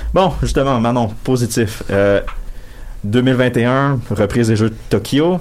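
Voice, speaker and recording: This man's loudness hardly changes at all. He talks at a very slow pace. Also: medium pitch for a man, ordinary pitch variation. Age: 20s. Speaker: sports columnist on panel. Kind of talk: casual panel chat.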